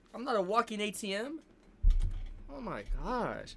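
A man talks in a raised, projected voice with an animated tone and lively intonation. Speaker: YouTube sports reaction creator. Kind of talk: excited fan commentary, reacting live to game highlights. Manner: animated, loud, hyped, shouting and cursing at the screen; casual slangy bro talk, emotional and rambling.

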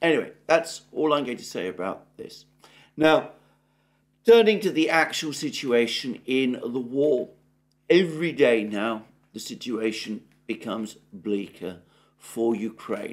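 In a British accent, a man talks at a fairly slow pace and medium pitch, with long, frequent pauses. His pitch swings very widely and his loudness shifts a lot, against a quiet background. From Britain. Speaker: political commentator. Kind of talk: solo news analysis monologue. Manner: hesitant with frequent fillers; formal. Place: home room.

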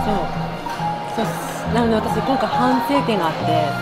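Loud music plays in the background while a woman speaks. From Sapporo, Japan. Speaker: YouTuber. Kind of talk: casual conversation. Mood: playful, joking. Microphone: phone near.

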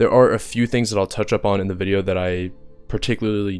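With music in the background, a man speaks. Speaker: gaming content creator. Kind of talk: game patch review commentary. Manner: monotone.

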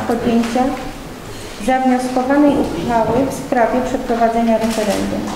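A woman's high-pitched, monotone, flat voice at a moderate pace, with audible room echo and noticeable background noise. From Poland. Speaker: council chairwoman. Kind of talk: formal council session. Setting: council hall without microphone. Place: hall. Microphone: camera far.

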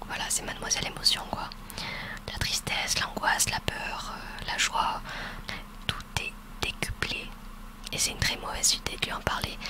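The speaker whispers at a fairly slow pace. Long pauses come often. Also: woman. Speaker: ASMR roleplay creator. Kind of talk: soft roleplay talk to listener. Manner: soft close-mic ASMR murmur. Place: home room. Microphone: studio mic.

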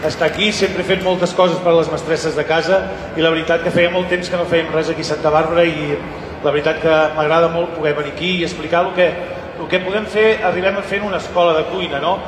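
Over noticeable background noise, a man with a high pitch talks at a very fast pace in a monotone, flat delivery. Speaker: cooking school teacher. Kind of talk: presentation to audience. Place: hall.

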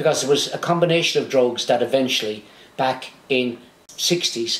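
There is audible room echo around a man whose pitch varies in an ordinary way. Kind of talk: storytelling talk to camera. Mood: warm, reminiscing. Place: home room.

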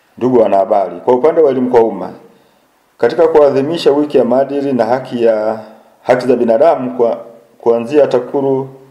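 Over a quiet background, a man speaks at a fairly quick pace, his loudness very even and his pitch variation ordinary. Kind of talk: press statement read aloud. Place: office. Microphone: handheld.

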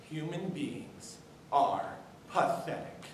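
A man uses a raised, projected voice amid light background noise and audible room echo. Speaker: student actor in a play. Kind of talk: dramatic monologue. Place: stage. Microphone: camera far.

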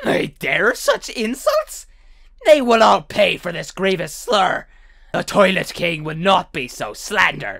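A man speaks with a high pitch at a fairly slow pace. His loudness swings widely. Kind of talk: comic overacting. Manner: pompous, indignant.

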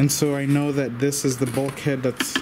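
A man speaking slowly with fairly even intonation over clear background noise.

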